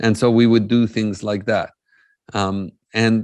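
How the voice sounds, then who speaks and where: Against a quiet background, a man with an Arabic accent speaks at a medium pitch and a fairly slow pace. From Jerusalem, Palestinian. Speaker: peace-building speaker. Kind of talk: conference talk.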